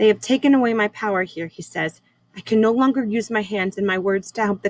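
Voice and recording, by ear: The speaker reads aloud in a natural voice, and the pitch moves with ordinary variation.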